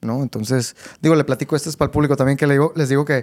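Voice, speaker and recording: This man speaks at a fairly high pitch. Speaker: podcast host. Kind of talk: interview.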